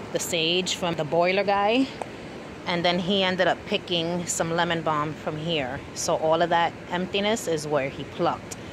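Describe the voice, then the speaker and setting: Over noticeable background noise, a woman with a fairly low pitch speaks at a moderate pace with fairly even intonation, in a dry sound with no echo. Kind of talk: casual vlog chat. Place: garden. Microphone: phone near.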